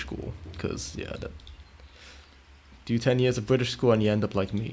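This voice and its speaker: A man's fairly low-pitched voice with vocal fry at a moderate pace. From Italy. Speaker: video game streamer. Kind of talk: casual chat while live-streaming gameplay. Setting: live stream.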